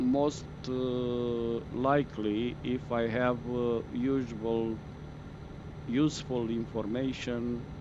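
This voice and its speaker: Over noticeable background noise and audible room echo, a man with a Romanian accent speaks very slowly at a medium pitch in a monotone, flat intonation. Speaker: gaming streamer. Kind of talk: live gameplay stream chat. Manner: halting, many fillers.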